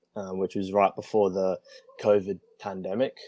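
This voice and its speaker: A man speaks with an Australian accent at a fairly low pitch. His tone is dark and mellow, and the sound is dry and close with no echo. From Australia, Adelaide area. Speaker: traveler, guest. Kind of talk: casual interview chat.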